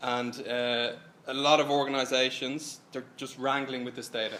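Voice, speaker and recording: A man's medium-pitched voice carries audible room echo. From Ireland. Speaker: software consultant. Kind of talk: tech presentation. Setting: stage with audience. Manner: casual, animated.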